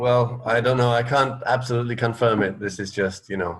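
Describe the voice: A man talks at a fairly quick pace with a medium pitch. His intonation stays fairly even.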